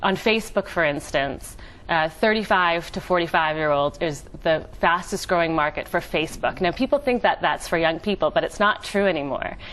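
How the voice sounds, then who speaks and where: A woman with an American accent talks at a fairly quick pace in a normal speaking voice, fairly low in pitch with ordinary pitch variation. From United States. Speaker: entrepreneur. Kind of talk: TV interview.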